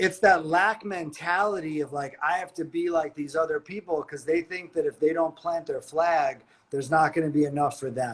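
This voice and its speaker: Delivered with a New York accent at a moderate pace. There are hardly any pauses. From New York, Staten Island. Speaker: life coach. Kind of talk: casual interview chat.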